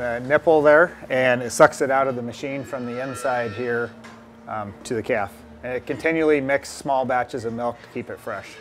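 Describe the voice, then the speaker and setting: A man at a moderate pace with ordinary pitch variation, over faint music in the background. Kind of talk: walking tour explanation. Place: farm machine. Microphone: lapel.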